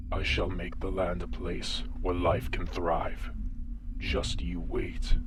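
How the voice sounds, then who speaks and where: A man in a put-on character voice at a fairly slow pace, over loud background noise. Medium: audio drama.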